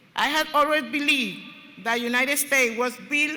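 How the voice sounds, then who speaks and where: A woman's voice with audible room echo. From Dominican Republic. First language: Spanish. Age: 50s. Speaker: student speaker. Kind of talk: ceremonial speech. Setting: stage with audience. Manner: formal.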